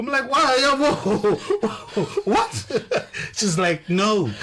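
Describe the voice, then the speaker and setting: A man with an African accent speaks with very wide pitch swings. Noticeable background noise sits behind him. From Zimbabwe. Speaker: radio host. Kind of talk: radio interview.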